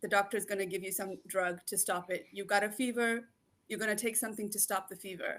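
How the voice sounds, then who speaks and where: The speech moves at a fairly quick pace with fairly even intonation in a very clean recording with a silent background. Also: woman. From Kenya. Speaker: naturopathic doctor. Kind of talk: interview. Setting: live video show.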